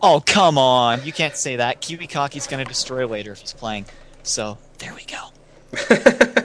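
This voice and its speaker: A man with an ordinary speaking voice, fairly high in pitch, talks at a fairly slow pace with lively intonation and big swings in loudness. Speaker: esports commentator. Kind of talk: live commentary.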